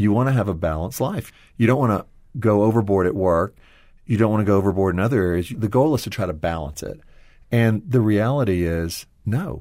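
A normal speaking voice from a man, fairly low in pitch, at a fairly quick pace. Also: ordinary pitch variation. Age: 40s. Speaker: former publishing executive, ministry team member. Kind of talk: interview. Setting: studio.

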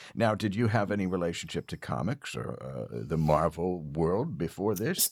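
With vocal fry and very wide pitch swings, a man speaks in a very deep, low voice at a moderate pace. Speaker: podcast host. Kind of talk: casual interview; scripted comedic monologue. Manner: hesitant, many fillers.

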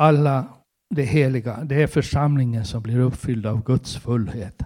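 A man's dark, mellow tone comes through as he talks fairly slowly. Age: 60s. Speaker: preacher. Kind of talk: sermon.

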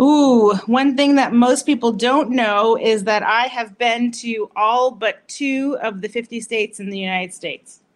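A woman with an American accent has an unremarkable speaking voice, fairly high in pitch. She talks at a fairly slow pace with hardly any pauses and fairly even intonation. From Massachusetts, US. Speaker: doctor, pelvic health. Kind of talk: short interview.

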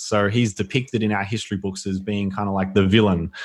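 Speaking at a fairly quick pace, a man with an Australian accent has a fairly low pitch and monotone, flat intonation. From Australia, Melbourne (Yarra Valley). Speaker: author and former professional athlete. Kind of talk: casual interview.

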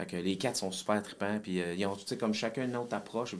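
Talking at a very fast pace, the man has a fairly low pitch. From Quebec, Saint-Jérôme. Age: 40s. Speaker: musician. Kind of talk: casual chat.

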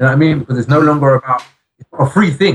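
A man with an English accent talks at a very fast pace in a fairly high pitch. His voice is somewhat breathy, with fairly even intonation. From England. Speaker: rapper. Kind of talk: interview. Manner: halting.

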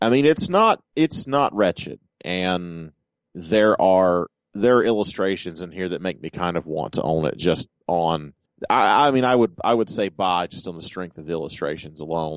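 In a playful tone, a man with a very deep, low voice uses lively intonation. The sound is dry and close, with no echo. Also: moderate pace, quiet background. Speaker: podcast host and illustrator. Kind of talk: casual banter. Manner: joking, playful.

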